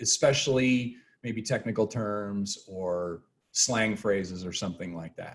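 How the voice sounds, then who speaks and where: There is some breathiness in this voice. The pitch rises and falls in an ordinary way. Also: man. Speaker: professor. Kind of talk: lecture. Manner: fast.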